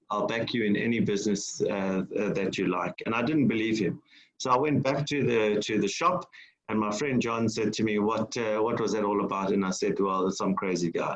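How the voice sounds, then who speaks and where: This man has a medium pitch and a South African accent. His loudness stays very even. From South Africa, Durban. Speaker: entrepreneur and business mentor. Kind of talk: public lecture. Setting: online lecture. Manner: halting, many fillers.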